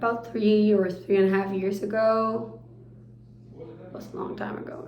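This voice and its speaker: A woman with a Spanish accent at a medium pitch, ordinary pitch movement and a moderate pace, big swings in loudness, noticeable background noise and audible room echo. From Argentina, Buenos Aires. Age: 20s. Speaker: pastry chef. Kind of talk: interview.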